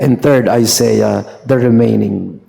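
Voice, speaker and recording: A man talks at a very slow pace with a medium pitch. His intonation is fairly even, and audible room echo is present. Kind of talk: sermon. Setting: church Mass. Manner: Taglish code-switching, conversational.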